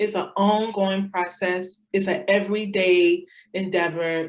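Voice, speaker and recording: A woman speaks with an American accent. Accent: Southern accent comes out at times. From US South. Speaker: assistant principal, former language teacher. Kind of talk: interview.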